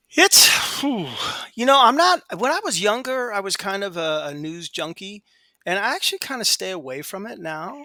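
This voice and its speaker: Raising and projecting his voice, a man with an American accent speaks in a high pitch with very wide pitch swings. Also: moderate pace, big swings in loudness. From outside the US. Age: 60s. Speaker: podcast guest talking about depression. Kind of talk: casual chat. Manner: halting, many repetitions.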